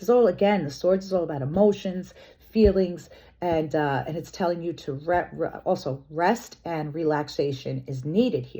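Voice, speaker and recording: Big swings in loudness run through a woman's speech, which has a fairly low pitch, ordinary pitch variation and a moderate pace. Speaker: tarot reader. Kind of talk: tarot reading. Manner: loud, passionate; animated.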